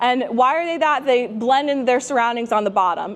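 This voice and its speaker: Noticeable background noise sits behind a woman with an American accent who talks at a fairly quick pace and a high pitch. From New Jersey. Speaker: fishing instructor. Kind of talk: seminar lecture. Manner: casual, chatty.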